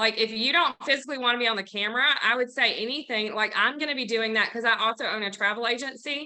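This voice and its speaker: A woman's fairly high-pitched, very fast speech with hardly any pauses, fairly even intonation and a Southern US accent. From US South, Mississippi near Memphis. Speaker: coaching group member, real estate agent. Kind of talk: casual chat.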